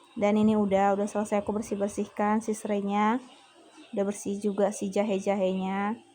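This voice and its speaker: A woman's medium-pitched voice, fairly quick and flat, monotone in intonation. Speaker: teacher and vlogger. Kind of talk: casual cooking vlog chat.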